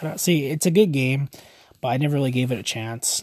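Somewhat breathy, a man with a Canadian accent speaks fairly quickly at medium pitch with ordinary pitch variation. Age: 20s. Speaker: podcast host. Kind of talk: casual solo podcast talk.

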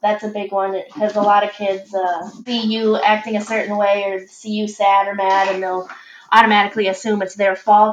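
A woman with an American accent at medium pitch, monotone and flat, with noticeable background noise. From Michigan, US. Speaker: parent. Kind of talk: casual chat.

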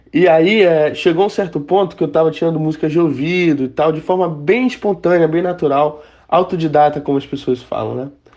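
A man's fairly high voice, a normal speaking voice, fairly quick with hardly any pauses and ordinary pitch variation. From Brazil, Manaus (Amazonas). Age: 20s. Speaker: musician. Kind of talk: interview.

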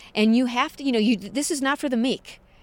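A woman with an American accent speaks on a very clean recording with a silent background. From US Midwest, St. Louis. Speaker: TV producer. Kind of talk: interview. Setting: outdoors.

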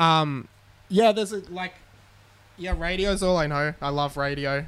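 In an Australian accent, the speaker talks at a moderate pace with ordinary pitch variation, on a very clean recording with a silent background. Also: man. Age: 20s. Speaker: radio panel operator. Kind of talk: casual chat. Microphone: own microphone, new mic.

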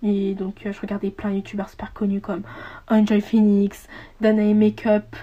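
A woman speaks at a fairly slow pace in a fairly high voice. Her tone is dark and mellow and somewhat breathy. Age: young. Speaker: podcaster. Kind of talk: casual monologue. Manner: halting.

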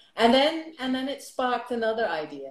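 A woman with a Dutch accent. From Netherlands. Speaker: lifestyle blogger. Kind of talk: casual interview.

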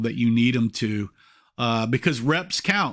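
A plain, everyday voice from a man at a fairly slow pace, with fairly even intonation, in a very clean recording with a silent background. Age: 50s. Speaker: youth football coach and podcast host. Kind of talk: solo podcast monologue. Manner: frequent filler uhs.

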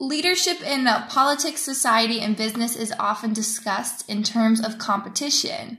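A woman with an unremarkable speaking voice and an American accent, fairly high in pitch, with ordinary pitch variation, a moderate pace and hardly any pauses. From United States. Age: 20s. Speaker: student interviewer. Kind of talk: interview. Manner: formal.

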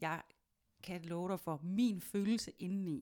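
The recording is very clean and the background silent. The speaker is a woman. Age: 30s. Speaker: podcast host. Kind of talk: casual chat. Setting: studio. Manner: hesitant with many fillers.

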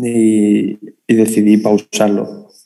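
With a Madrid accent, a man speaks at a medium pitch. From Madrid, Spain. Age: 30s. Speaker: sports gear designer. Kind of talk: casual chat. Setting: video call.

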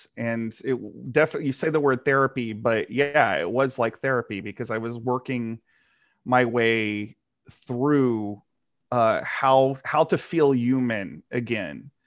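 A man's medium-pitched voice at a fairly slow pace, with ordinary pitch variation, over a quiet background. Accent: American. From rural Texas. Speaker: comic book writer. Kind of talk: interview. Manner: halting, with many repeated words.

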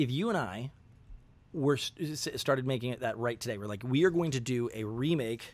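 On a very clean recording with a silent background, a man has a plain, everyday voice at medium pitch, with ordinary pitch variation and a fairly quick pace. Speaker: podcast co-host. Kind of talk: casual chat.

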